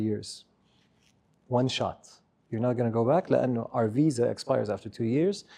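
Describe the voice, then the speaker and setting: With an Arabic accent, a man speaks in a dark, mellow tone at medium pitch and a moderate pace, using ordinary pitch variation and long, frequent pauses. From Saudi Arabia, Eastern Province. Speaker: business leader. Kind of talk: interview. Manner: Arabic-English code-switching.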